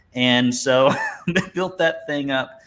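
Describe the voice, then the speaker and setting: This is a man with an Alabama accent. His pitch varies in an ordinary way. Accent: Southern US (Alabama). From US South, Alabama. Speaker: business coach for painting contractors. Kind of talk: webinar presentation.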